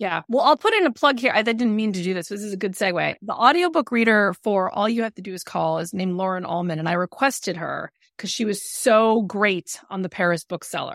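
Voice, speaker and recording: A woman speaks in a normal speaking voice, medium in pitch with ordinary pitch variation, at a fairly quick pace with hardly any pauses and big swings in loudness. The sound is dry and close with no echo, on a very clean recording with a silent background. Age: 40s. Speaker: novelist. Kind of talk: casual interview.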